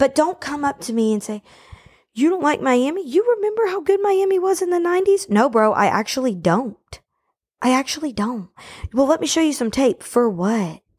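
A woman speaks in an animated tone at a high pitch. Her pitch swings very widely. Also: moderate pace. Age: 20s. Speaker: sports podcast host. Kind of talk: casual monologue. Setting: home.

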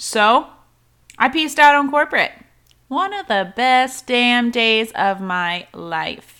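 A woman talks very slowly at a high pitch, her voice making very wide pitch swings. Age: 30s. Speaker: podcast host and online fitness coach. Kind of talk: casual solo podcast monologue. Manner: chatty, informal.

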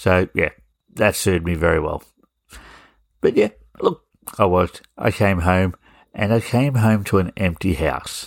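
The speaker talks at a fairly slow pace with long, frequent pauses and ordinary pitch variation, the sound dry and close with no echo on a very clean recording with a silent background. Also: man, very deep, low pitch for a man. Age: 40s. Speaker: podcast host. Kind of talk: casual monologue.

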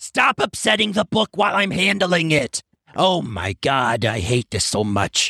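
A man's put-on character voice, fairly high in pitch, with very wide pitch swings at a moderate pace. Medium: actual play. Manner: exasperated, fussy.

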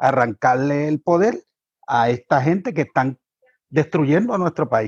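With an ordinary speaking voice, a man talks at a fairly high pitch and moderate pace with lively intonation, in a dry, close sound with no echo and a quiet background. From Puerto Rico, Cabo Rojo. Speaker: party activist. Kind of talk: panel discussion.

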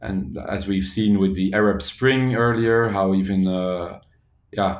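With a Flemish accent, a man with a fairly low voice speaks at a fairly slow pace amid audible room echo. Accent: Belgian (Flemish) English. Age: 40s. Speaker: social entrepreneur. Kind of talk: interview. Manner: halting.

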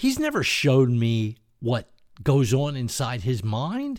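With an American accent, a man talks on a very clean recording against a silent background. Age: 70s. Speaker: opinion podcaster. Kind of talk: monologue commentary.

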